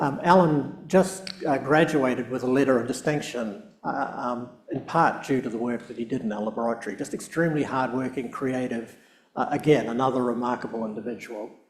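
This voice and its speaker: Audible room echo follows a man speaking at a fairly quick pace, his medium pitch showing ordinary variation. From New Zealand, South Island. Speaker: professor and research scientist. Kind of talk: public lecture. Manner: hesitant, many fillers.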